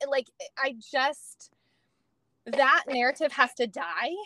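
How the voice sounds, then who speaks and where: A woman speaks in a raised, projected voice with an American accent, her pitch high and her tone bright and sharp. The sound is dry and close, with no echo. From California. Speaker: nutrition coach. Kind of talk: interview.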